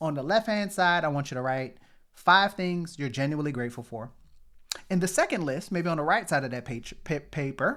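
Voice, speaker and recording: In a bright, sharp tone, the man delivers his words at a moderate speed. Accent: New Orleans. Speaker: motivational podcast host, pharmacist. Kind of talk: motivational talk. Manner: conversational, repetitive emphasis.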